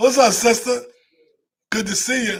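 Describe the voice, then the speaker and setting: A man is speaking. His tone is animated. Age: 50s. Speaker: livestream business host. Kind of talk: live stream talk to viewers.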